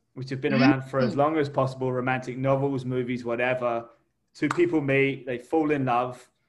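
In an English accent, a man speaks at a fairly quick pace and medium pitch with monotone, flat intonation. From England. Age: 30s. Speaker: podcast co-host. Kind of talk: casual chat.

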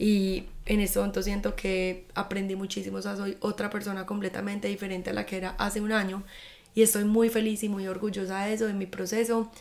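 A woman talks at a fairly quick pace and a medium pitch. Her intonation is monotone and flat. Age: 20s. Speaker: podcast host. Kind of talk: casual monologue. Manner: informal.

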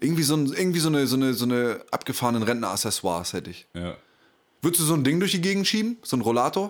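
Speaking very fast with very wide pitch swings, a man with a fairly high voice is heard on a very clean recording with a silent background. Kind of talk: casual chat.

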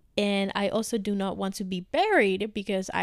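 A woman speaks at a fairly slow pace and medium pitch. The recording is very clean, with a silent background. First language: Spanish. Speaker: podcast co-host. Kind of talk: casual chat.

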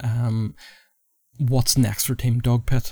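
A man with a Northern Irish accent speaks at a fairly slow pace and medium pitch in a somewhat breathy, dark, mellow tone. His intonation stays monotone and flat on a very clean recording with a silent background. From Northern Ireland. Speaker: podcast host. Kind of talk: interview.

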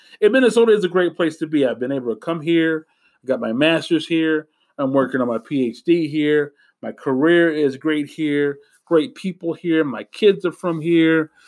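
A man with an American accent and a plain, everyday voice, fairly high in pitch, with ordinary pitch variation at a moderate pace, on a very clean recording with a silent background. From US Midwest, Indianapolis, Indiana. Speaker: social worker and political candidate. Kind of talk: podcast monologue.

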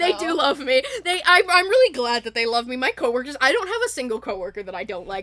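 Over noticeable background noise, a woman with a high-pitched, raised and projected voice speaks at a fairly quick pace in an enthusiastic tone with very wide pitch swings. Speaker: podcast host.

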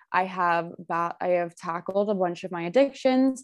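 A woman's medium-pitched, unremarkable speaking voice at a moderate pace with ordinary pitch variation, on a very clean recording with a silent background. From Ontario, Canada (Burlington). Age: 20s. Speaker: college student. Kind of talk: casual interview.

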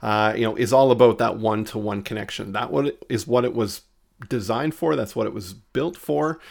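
Speaking at a fairly quick pace, a man with a plain, everyday voice uses a medium pitch and lively intonation in a very clean recording with a silent background. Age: 30s. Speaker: marketing consultant. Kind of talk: interview.

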